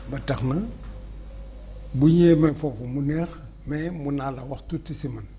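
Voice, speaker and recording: A man at a fairly slow pace, with long, frequent pauses, big swings in loudness, audible room echo and noticeable background noise. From Senegal, Dakar. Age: 70s. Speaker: historian. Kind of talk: interview.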